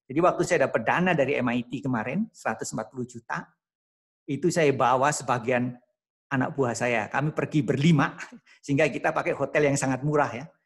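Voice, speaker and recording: With a quiet background, a man speaks at a moderate pace and shows ordinary pitch variation. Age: 60s. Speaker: professor. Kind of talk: lecture. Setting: video call. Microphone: video call.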